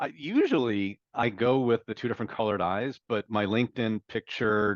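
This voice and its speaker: A man talks in a fairly low pitch with an American accent and fairly even intonation. The sound is dry and close, with no echo. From New York, Westchester. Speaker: B2B tech analyst. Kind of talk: interview.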